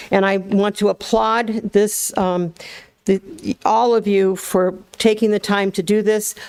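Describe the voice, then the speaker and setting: There is noticeable background noise behind a woman of medium pitch whose intonation is fairly even and loudness very even, in a dry, close sound with no echo. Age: 70s. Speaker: activist. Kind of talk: public comment at government meeting. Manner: impassioned.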